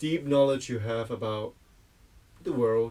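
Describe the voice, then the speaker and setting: A man's voice with fairly even intonation. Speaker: host, designer and architect. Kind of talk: casual conversation. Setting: mobile tea house.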